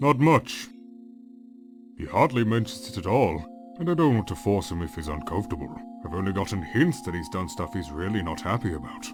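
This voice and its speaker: A man's cartoonish character voice at medium pitch and a fairly quick pace, with clear music in the background. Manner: warm, folksy.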